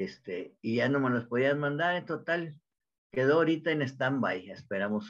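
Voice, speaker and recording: A man speaks in a northern Mexican accent at a moderate pace. His pitch is medium and his intonation lively. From Mexico, Monterrey. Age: 80s+. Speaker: home cook YouTuber. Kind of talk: interview answer. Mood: cheerful, chatty. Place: home room. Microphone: video call.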